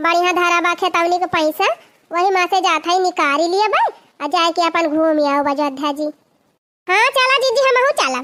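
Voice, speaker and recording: A woman does a squeaky, cartoonish character voice at an extremely high pitch, with lively intonation. Her pace is moderate and her loudness stays very even. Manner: scolding, insistent.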